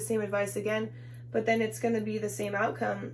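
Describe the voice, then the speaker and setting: A woman talks at a very fast pace in a very deep, low pitch. Her pitch swings very widely, and the room echo is audible. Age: 20s. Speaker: tarot reader. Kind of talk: tarot reading. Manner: casual, filler-heavy.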